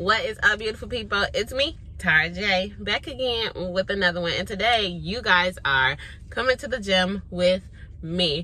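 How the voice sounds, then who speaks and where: At a moderate pace, a woman speaks in a bright, sharp tone, the sound dry with no echo. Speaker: vlogger. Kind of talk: casual vlog chat. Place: car. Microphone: phone near.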